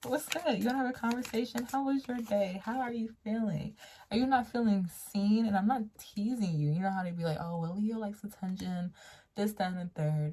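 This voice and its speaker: At a fairly quick pace, a woman with a medium pitch and a dark, mellow tone speaks with lively intonation and a somewhat breathy sound. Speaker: tarot reader. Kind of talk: tarot reading to camera. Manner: casual, conversational.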